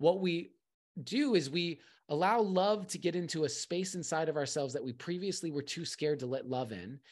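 A man talks with a high pitch and ordinary pitch variation. His pace is fairly quick against a quiet background. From California and Arizona, US. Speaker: poet and coach. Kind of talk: casual interview.

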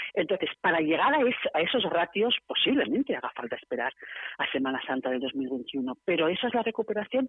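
Delivery comes at a fairly quick pace. Wide pitch swings run through it to a very large degree. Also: woman, fairly low pitch for a woman. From Barcelona, Spain. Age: 50s. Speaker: city tourism councillor. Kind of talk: radio interview. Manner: animated.

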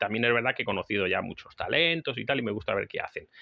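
A man speaks with lively intonation. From Spain. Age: 40s. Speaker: podcast host and survival instructor. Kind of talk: solo podcast monologue. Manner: halting, with frequent fillers.

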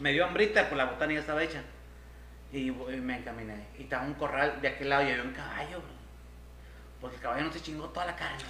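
The speech runs at a very fast pace, broken by long, frequent pauses and big swings in loudness. Audible room echo and noticeable background noise fill the recording. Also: man. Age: 40s. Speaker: podcast co-host. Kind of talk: casual chat. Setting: live stream.

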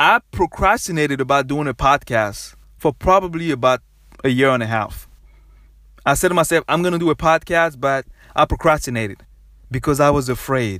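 An energetic voice with a West African accent and lively intonation, at a fairly quick pace with long, frequent pauses, on a very clean recording with a silent background. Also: man, fairly high pitch for a man. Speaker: podcast host. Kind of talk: motivational solo podcast talk. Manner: repetitive, energetic.

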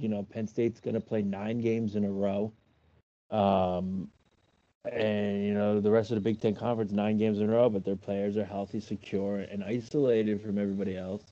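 A man speaks in a fairly low voice with a dark, mellow tone. His intonation stays monotone and flat as he moves at a fairly quick pace. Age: 30s. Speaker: podcast co-host. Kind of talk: casual chat.

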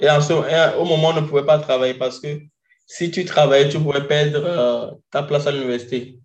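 This man speaks at a fairly quick pace in a fairly high, somewhat breathy voice with monotone, flat intonation. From Togo, Lomé. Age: 20s. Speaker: doctor. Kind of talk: interview conversation.

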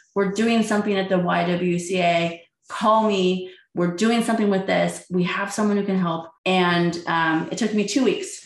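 With an American accent, a woman speaks at a moderate pace and medium pitch. Her intonation is fairly even, and the room echo is audible. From San Jose, California. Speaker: LGBTQ community activist and small business owner. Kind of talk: interview storytelling.

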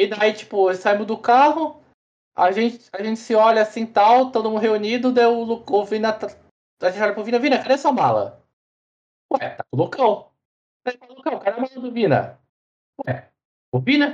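A man's high-pitched voice with long, frequent pauses. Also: ordinary pitch variation, moderate pace. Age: 20s. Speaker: esports player. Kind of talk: casual chat.

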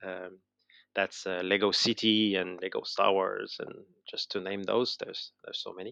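Moderate pace with a slight French Canadian accent, a dry, close sound with no echo, and a quiet background. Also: man. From Quebec, Montreal. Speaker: educational concept designer, former teacher. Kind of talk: interview. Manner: halting, many fillers and repetitions.

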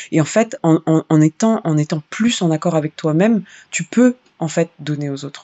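An unremarkable speaking voice with lively intonation, at a moderate pace. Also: woman, fairly low pitch for a woman. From Paris suburbs, France. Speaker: singer and activist. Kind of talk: interview conversation.

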